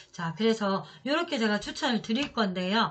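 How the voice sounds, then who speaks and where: The intonation rises and falls in a lively way. A somewhat breathy quality runs through the voice. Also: woman. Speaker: real estate auction consultant. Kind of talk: tutorial.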